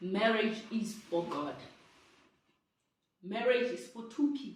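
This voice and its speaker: A woman with a fairly high, somewhat breathy voice speaks at a very slow pace. Her pitch varies in an ordinary way, and room echo is audible. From South Africa. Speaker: vlogger sharing personal story. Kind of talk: personal testimony.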